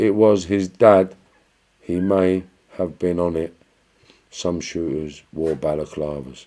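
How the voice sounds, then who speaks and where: Speaking in a Cockney accent, a man with a very deep, low pitch and a dark, mellow tone talks at a very slow pace with long, frequent pauses. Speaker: livestream host answering viewer questions. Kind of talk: casual livestream chat reading comments. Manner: animated.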